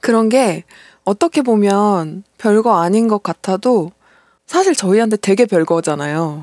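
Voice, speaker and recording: A woman with a plain, everyday voice speaks at a fairly slow pace and a medium pitch, with lively intonation and very even loudness, on a very clean recording with a silent background. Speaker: podcast host. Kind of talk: casual chat.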